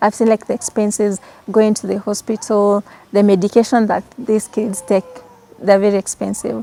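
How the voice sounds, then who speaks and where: Intonation stays fairly even. The sound is dry and close with no echo, though noticeable background noise is present. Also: woman, medium pitch for a woman, moderate pace. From Kenya, Kamba community. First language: Kikamba. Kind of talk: interview.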